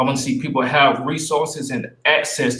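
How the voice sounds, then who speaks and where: A man with a Southern US accent at a moderate pace, with lively intonation. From US South, Spartanburg, South Carolina. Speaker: city council candidate, entrepreneur. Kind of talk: candidate forum opening statement. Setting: virtual forum, video call.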